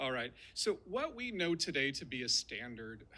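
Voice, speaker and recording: The tone of this man's voice is bright and sharp. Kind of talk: formal speech. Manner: fast.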